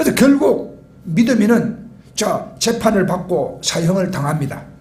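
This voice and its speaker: Fairly slow speech with lively intonation in a Gyeongsang accent, with audible room echo and noticeable background noise. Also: man. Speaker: pastor. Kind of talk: sermon.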